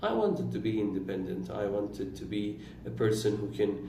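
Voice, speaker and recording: A man speaks at a fairly slow pace with a fairly low pitch. Audible room echo surrounds his voice. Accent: Iranian. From Iran, Turkic-speaking region. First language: Turkish. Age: 20s. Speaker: vlogger. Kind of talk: personal reflective monologue.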